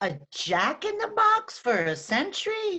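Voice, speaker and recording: An extremely high-pitched, put-on character voice moves at a fairly slow pace. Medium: fan dub. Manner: dry, matter-of-fact.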